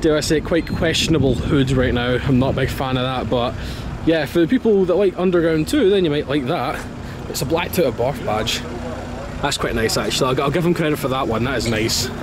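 Noticeable background noise sits behind a man speaking at a fairly quick pace. The sound is dry with no echo, and his pitch varies in an ordinary way. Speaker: car vlogger. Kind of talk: casual vlog commentary. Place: street. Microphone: phone near.

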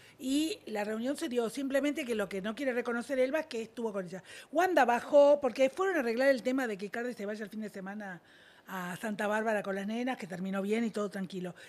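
Lively in intonation, a woman talks at a very fast pace. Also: big swings in loudness. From Argentina. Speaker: showbiz gossip panelist; panelist. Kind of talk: casual panel chat. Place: studio. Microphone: studio mic.

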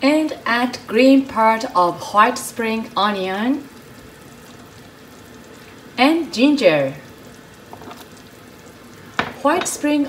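There is light noise in the background. A woman speaks very slowly, pausing long and often. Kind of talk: tutorial. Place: kitchen. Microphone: phone near.

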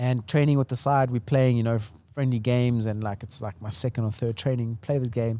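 A man's dark, mellow tone, fairly even intonation and fairly quick pace, in a dry sound with no echo. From South Africa, Portuguese family. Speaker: entrepreneur and brand builder; podcast guest. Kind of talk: casual interview chat. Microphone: studio mic.

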